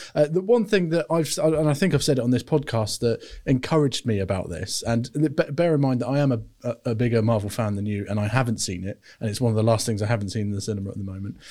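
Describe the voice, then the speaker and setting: Very fast, lively male speech at medium pitch with a British accent and a dark, mellow tone, on a very clean recording with a silent background. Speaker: film podcast co-host. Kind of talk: casual chat. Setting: studio.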